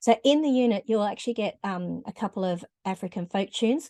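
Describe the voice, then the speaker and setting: Recorded dry and close with no echo over a quiet background, a woman speaks at a fairly quick pace, her fairly high pitch carrying a dark, mellow tone. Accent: Australian. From Australia. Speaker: music teacher. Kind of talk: tutorial. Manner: conversational with frequent hesitations.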